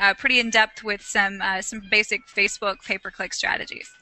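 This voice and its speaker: Noticeable background noise runs under a woman speaking at a fairly quick pace with a slight Southern US accent. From US South, Huntsville, Alabama. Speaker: internet marketer. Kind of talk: interview.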